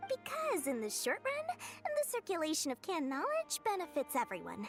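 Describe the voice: Over faint music in the background, a woman puts on a character voice at an extremely high pitch, with very wide pitch swings and a moderate pace.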